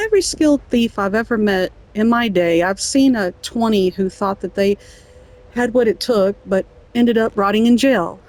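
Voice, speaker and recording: Speaking with a Southern US accent, a woman uses a fairly high pitch and ordinary pitch variation at a moderate pace, with noticeable background noise behind her. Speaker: gamer. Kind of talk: reading in-game book aloud. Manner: playful, amused.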